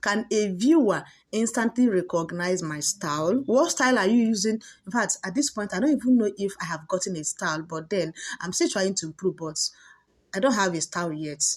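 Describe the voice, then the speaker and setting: Over a quiet background, a woman speaks at a fairly quick pace in an animated tone. Her intonation is lively and her voice somewhat breathy. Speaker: YouTube growth coach. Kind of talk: tutorial.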